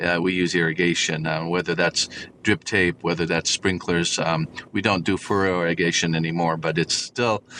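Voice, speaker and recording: With a Californian accent, a man speaks at a moderate pace in a very deep, low voice that has a bright, sharp tone and very even loudness. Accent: Californian American English. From Southern California, Orange County. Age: 60s. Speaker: farmer. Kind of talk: interview. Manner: hesitant, many fillers.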